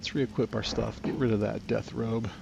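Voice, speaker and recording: Talking at a moderate pace, a man keeps a fairly low pitch. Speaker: gaming streamer. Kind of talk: live gameplay commentary. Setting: live stream.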